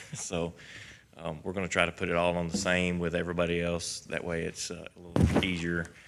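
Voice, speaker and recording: Monotone, flat intonation at a fairly quick pace. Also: man. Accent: Kentucky. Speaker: county alcohol beverage control administrator. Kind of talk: quarterly report to a public meeting. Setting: county government meeting. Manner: hesitant, many fillers.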